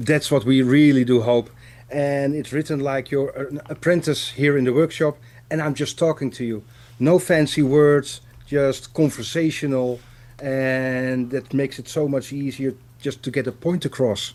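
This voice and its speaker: A man with a Dutch accent speaks at a moderate pace, his fairly high pitch following a fairly even intonation. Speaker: watchmaker, author and teacher. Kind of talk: casual interview chat.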